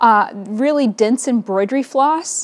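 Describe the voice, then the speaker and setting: Speaking at a fairly slow pace, a woman uses a high pitch and lively intonation. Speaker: podcast host, quilting teacher. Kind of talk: casual vlog chat. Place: home room.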